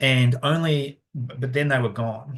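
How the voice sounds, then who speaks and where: With an Australian accent, a somewhat breathy voice comes through over a quiet background. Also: man. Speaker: conservation scientist. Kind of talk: webinar Q&A. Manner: halting, many fillers.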